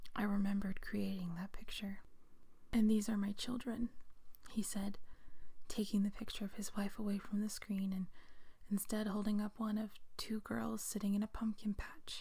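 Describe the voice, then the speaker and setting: Soft-spoken delivery at a moderate pace, with noticeable background noise. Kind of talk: read story.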